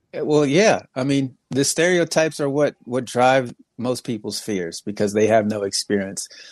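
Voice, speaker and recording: A man speaks in a plain, everyday voice at medium pitch, moderate in pace with lively intonation and hardly any pauses. The sound is dry and close with no echo, over a quiet background. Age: 30s. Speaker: comedy podcast co-host. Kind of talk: casual chat.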